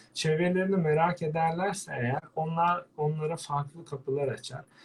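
At a moderate pace, a man speaks in an ordinary speaking voice that is fairly high in pitch, with ordinary pitch variation. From Turkey, Antalya. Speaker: veterinarian and birdwatcher. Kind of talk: interview. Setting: live online broadcast.

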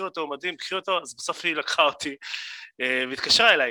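Speaking at a very fast pace, a man with a fairly high pitch and a bright, sharp tone shows ordinary pitch variation, the sound dry and close with no echo on a very clean recording with a silent background. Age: 30s. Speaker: event host and voice actor. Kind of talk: interview. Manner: animated.

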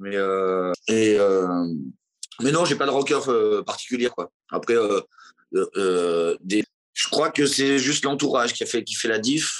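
A man talks at a very slow pace with lively intonation and medium pitch. The sound is dry and close, with no echo. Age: 40s. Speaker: singer-songwriter. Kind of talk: interview testimony. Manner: hesitant, many fillers.

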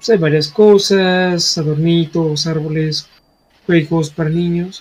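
Music plays in the background as a man speaks. His voice is high and his pace fairly slow. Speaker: podcast co-host. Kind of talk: reading aloud; casual chat.

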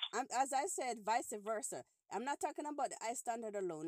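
Dry, close sound with no echo around a woman's fairly high, ordinary speaking voice with lively intonation. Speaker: podcast host. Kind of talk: casual phone-in chat.

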